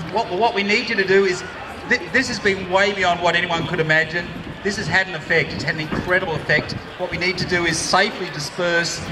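Talking at a very fast pace, a man with a high pitch keeps a fairly even intonation over noticeable background noise. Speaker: venue spokesperson at rally. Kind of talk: rally speech. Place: street.

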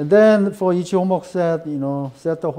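With a Korean accent, a man speaks in a dark, mellow tone with ordinary pitch variation. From South Korea. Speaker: professor. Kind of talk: lecture. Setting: classroom. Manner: slow; halting. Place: classroom.

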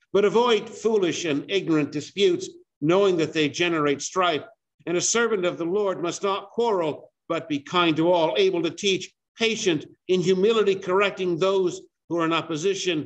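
This man has a high pitch and ordinary pitch variation. He talks at a moderate pace. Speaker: preacher. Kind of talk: sermon. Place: church. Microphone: video call.

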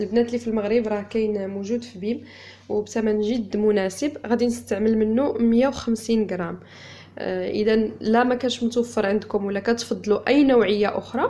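At a moderate pace, the woman talks with fairly even intonation. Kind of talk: tutorial. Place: home room.

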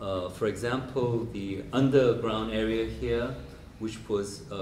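In a Korean accent, a man speaks at a fairly slow pace with ordinary pitch variation, over light background noise and audible room echo. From South Korea. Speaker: professor and biennale director; professor. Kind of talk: lecture. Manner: hesitant with many fillers. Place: hall. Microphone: handheld.

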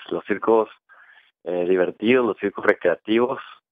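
This is a man talking. The variation in his pitch is ordinary. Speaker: theater company member, performer. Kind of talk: interview answer, promoting a show.

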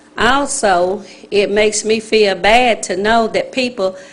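A woman is speaking. She has a Southern US accent. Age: 60s. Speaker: resident speaking at public hearing. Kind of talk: public comment at council meeting.

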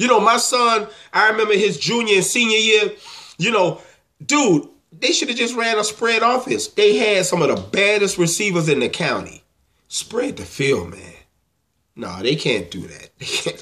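A man speaks in a high-pitched, bright, sharp voice, raised and projected. His intonation is lively and his pace moderate. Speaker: football fan. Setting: home video, monologue to camera while game is on. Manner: stammering and halting when upset, stumbling over words. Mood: angry, exasperated.

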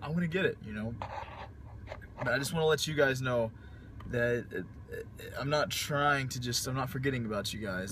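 Noticeable background noise is present. The sound is dry, with no echo. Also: man. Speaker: fitness vlogger. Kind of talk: casual vlog chat. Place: car. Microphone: phone near.

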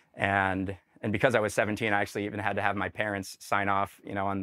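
A man with a fairly low pitch at a fairly quick pace, against a quiet background. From Denver, Colorado. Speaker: army veteran. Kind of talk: interview testimony. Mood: warm, smiling. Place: studio.

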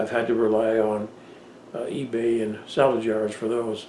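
A man speaks at a moderate pace amid audible room echo and light background noise. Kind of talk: casual vlog chat. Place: office.

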